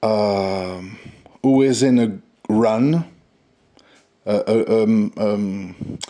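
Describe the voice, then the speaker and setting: A man with a French accent, his pitch fairly low and his tone dark and mellow, at a very slow pace with long, frequent pauses and very even loudness. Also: ordinary pitch variation. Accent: French accent, says his English is imperfect. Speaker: stock trading channel host. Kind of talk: casual market commentary. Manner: hesitant, many fillers.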